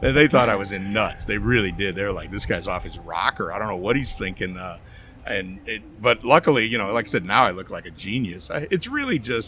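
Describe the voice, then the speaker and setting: Amid noticeable background noise, a man with an American accent talks fairly quickly in a fairly low voice with ordinary pitch variation. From Chicago area, US Midwest. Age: 60s. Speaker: barbecue pitmaster, podcast guest. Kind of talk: casual interview chat. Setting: outdoors at horse races event.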